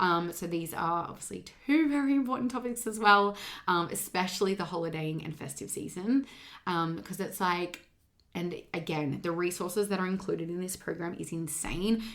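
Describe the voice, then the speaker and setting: This is an unremarkable speaking voice with ordinary pitch variation at a moderate pace. The recording is very clean, with a silent background. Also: woman, fairly low pitch for a woman. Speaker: fitness and weight loss coach, podcast host. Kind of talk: solo podcast monologue, program promotion. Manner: casual, many fillers (um, like).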